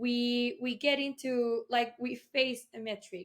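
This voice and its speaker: Someone speaks with a Colombian accent and fairly even intonation. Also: woman. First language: Spanish. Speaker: tech event co-founder. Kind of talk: interview.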